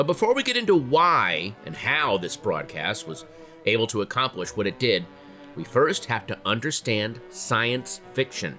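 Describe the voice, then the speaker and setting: With music playing in the background, a man with an American accent talks at a moderate pace. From United States. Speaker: comedian, actor, podcast host. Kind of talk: history podcast narration for kids.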